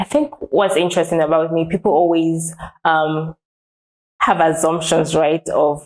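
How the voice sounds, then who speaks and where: Her pitch fairly low and her intonation flat and monotone, a woman talks at a fairly slow pace with very even loudness. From multicultural, born in Zambia, raised in several African countries and Nigeria. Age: young. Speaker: professional writer and writing trainer. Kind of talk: interview.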